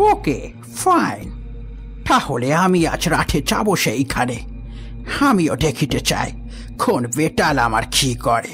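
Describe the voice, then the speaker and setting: Over clear background music, a man uses a put-on character voice, speaking very slowly at a very even loudness. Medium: audio drama. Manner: haughty, scoffing.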